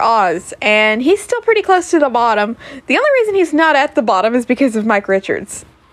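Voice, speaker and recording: A woman speaks in an animated tone, her pitch swinging very widely. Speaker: podcaster and streamer. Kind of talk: casual monologue. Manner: loud.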